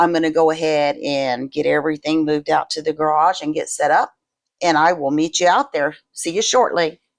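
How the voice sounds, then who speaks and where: Over a quiet background, a woman with an ordinary speaking voice talks at a moderate pace in a fairly low pitch. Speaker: resin crafter, video creator. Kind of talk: tutorial. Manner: casual.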